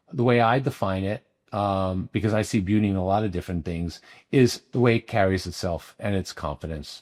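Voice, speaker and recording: A man speaks in a plain, everyday voice with a fairly low pitch and ordinary pitch variation. The pace is fairly quick, and the recording is very clean with a silent background. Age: 50s. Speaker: cosmetic dermatologist. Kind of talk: interview.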